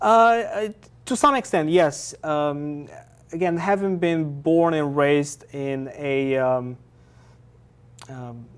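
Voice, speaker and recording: In a Bulgarian accent, a man talks at a fairly high pitch and a very slow pace, with long, frequent pauses. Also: ordinary pitch variation. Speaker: artist and activist. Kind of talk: TV interview. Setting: TV studio. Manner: halting, many fillers.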